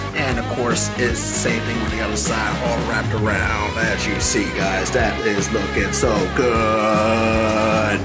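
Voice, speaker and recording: Over loud background music, a man speaks at a fairly slow pace. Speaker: food vlogger. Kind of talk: casual vlog chat. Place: cafe.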